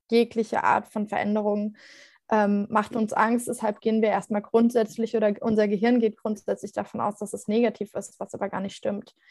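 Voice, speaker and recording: The woman's voice sits fairly high in pitch. She keeps a moderate pace with flat, monotone intonation. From Germany, Mainz area. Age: 20s. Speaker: cancer survivor and blogger. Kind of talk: interview.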